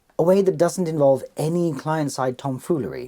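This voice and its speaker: Against a quiet background, a man with a British accent talks at a moderate pace. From Britain. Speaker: tech video presenter; presenter. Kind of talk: scripted explainer. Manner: playful, theatrical. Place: home room.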